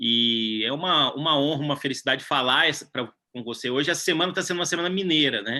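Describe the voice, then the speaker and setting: With a rural Minas Gerais accent, a man talks at a very fast pace, leaving hardly any pauses. His pitch is fairly high and varies in an ordinary way. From southern Minas Gerais, Brazil. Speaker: civil law professor. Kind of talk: interview conversation.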